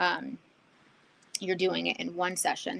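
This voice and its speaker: The speaker is a woman. She keeps to a moderate tempo. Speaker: artist streaming a painting session. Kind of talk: live painting demo chat. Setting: livestream. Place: home room. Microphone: studio mic.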